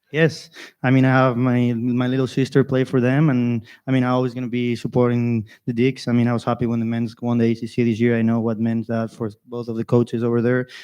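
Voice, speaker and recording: Over a quiet background, a man with a Spanish accent talks very fast in a flat monotone, with a dark, mellow tone at a medium pitch. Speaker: college golfer. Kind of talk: interview.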